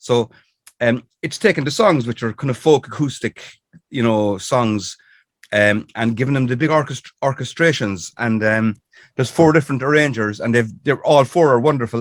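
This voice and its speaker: A man with a Cork accent speaks at medium pitch and a moderate pace. The recording is very clean, with a silent background and a dry, close sound free of echo. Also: ordinary pitch variation. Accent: Irish (Cork). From Ireland. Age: 60s. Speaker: singer-songwriter. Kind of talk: interview. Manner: halting, many fillers.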